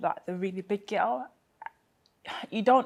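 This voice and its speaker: A woman's intonation is lively as she moves at a fairly brisk clip. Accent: London. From Peckham, South London. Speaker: engineer and social enterprise founder. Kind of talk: interview answer.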